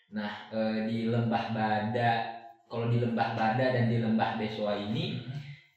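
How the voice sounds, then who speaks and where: Speech moves at a fairly slow pace in a monotone, flat intonation. Noticeable background noise and audible room echo surround it. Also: man, medium pitch for a man. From Palu, Central Sulawesi. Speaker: university student. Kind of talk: casual chat.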